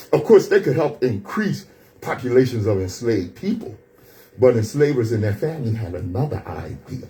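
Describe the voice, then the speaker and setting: In an American accent, a man speaks at a moderate pace and medium pitch, his tone animated and his intonation lively. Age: 60s. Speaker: radio show host. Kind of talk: radio talk commentary. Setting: radio studio.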